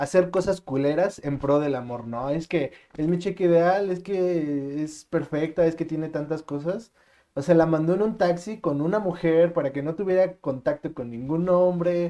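With a dark, mellow tone, a man speaks at a moderate pace in a high pitch for a man. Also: ordinary pitch variation. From Mexico City. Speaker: podcast co-host. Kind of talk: casual chat.

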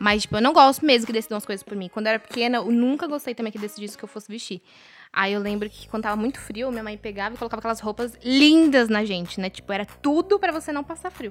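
Talking at a very fast pace, a woman uses a fairly high pitch with ordinary pitch variation. Her loudness swings widely. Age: 20s. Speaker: fashion professional. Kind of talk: casual chat.

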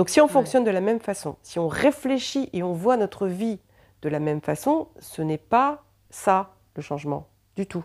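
A woman's dark, mellow voice at medium pitch, fairly slow, with very wide pitch swings, in a very clean recording with a silent background and a dry, close sound with no echo. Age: 50s. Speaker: psychic. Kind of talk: casual chat.

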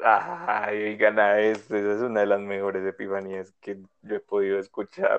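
The intonation stays fairly even at a moderate pace. It is an unremarkable speaking voice. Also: man, fairly low pitch for a man. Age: 20s. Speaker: podcast co-host. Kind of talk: casual chat.

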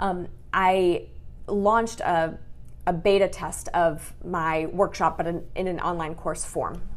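Audible room echo surrounds a woman with a Midwestern American accent who speaks very slowly in a fairly low pitch with monotone, flat intonation. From Michigan, US. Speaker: business coach. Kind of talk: interview.

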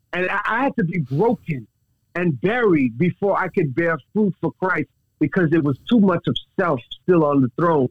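Speaking with an American accent, a man uses a high pitch and lively intonation at a moderate pace. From Texas. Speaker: minister sharing his testimony. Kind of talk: testimony. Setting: phone call.

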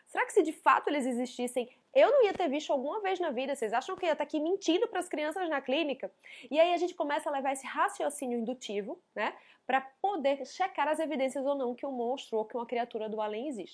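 A woman speaks very fast in a high, animated voice with lively intonation. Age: 30s. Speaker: psychologist. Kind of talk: educational monologue.

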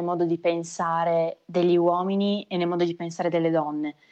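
Using an unremarkable speaking voice, a woman talks at a moderate pace and a medium pitch. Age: 20s. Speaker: magician. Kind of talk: interview.

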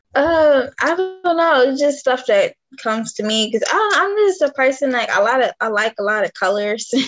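This woman has an American accent and a high pitch. She talks at a moderate pace with very wide pitch swings. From Detroit, Michigan. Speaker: author and clothing designer. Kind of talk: casual interview. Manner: halting.

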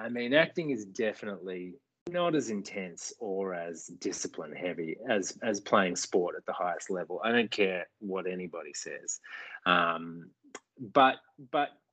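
With an Australian accent, a man speaks at a fairly slow pace in a fairly low pitch, his tone bright and sharp and his intonation lively. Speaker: actor. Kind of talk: interview.

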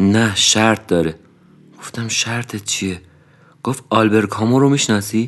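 A man talks at a medium pitch. His pace is fairly slow. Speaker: podcast narrator. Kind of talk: scripted narration.

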